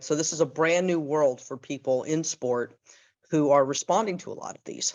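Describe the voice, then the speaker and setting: A woman with a North American accent speaks in a very deep, low pitch. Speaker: human rights and sport expert. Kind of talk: panel discussion.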